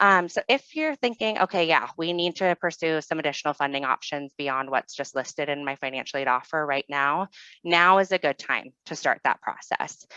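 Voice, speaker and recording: A woman with a very deep, low pitch and a bright, sharp tone speaks with hardly any pauses and ordinary pitch variation, recorded dry and close with no echo against a quiet background. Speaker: university financial aid staff. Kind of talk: webinar presentation. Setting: online webinar with screen sharing. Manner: fast.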